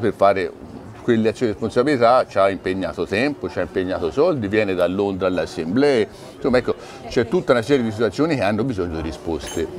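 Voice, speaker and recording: A man's very fast speech with very wide pitch swings over noticeable background noise. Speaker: shareholder association representative. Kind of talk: TV interview.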